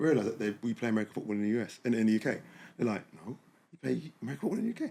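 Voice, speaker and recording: Speaking very fast, a man with an English accent has a medium pitch and a dark, mellow tone. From England. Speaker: podcast host, former American football player. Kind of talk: casual chat.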